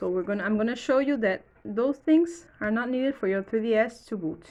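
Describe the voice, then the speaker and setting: With a Portuguese accent, a woman speaks at a fairly high pitch. Her intonation is lively. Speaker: electronics repair youtuber. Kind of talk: tutorial. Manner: halting.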